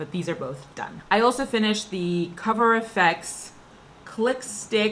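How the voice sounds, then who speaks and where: Her voice fairly high, a woman speaks with lively intonation. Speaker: beauty vlogger. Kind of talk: casual product review monologue. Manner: fast.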